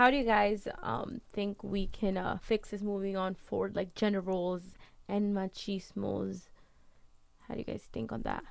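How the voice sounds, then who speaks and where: This woman talks with a Spanish accent. She keeps a moderate pace. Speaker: student guest. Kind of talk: casual chat.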